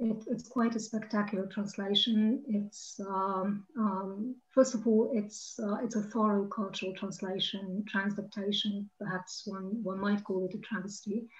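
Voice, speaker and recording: A woman speaks at a medium pitch in a somewhat breathy voice. Her intonation is flat and monotone, and the background is quiet. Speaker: associate professor and translator. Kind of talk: academic roundtable discussion. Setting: video call.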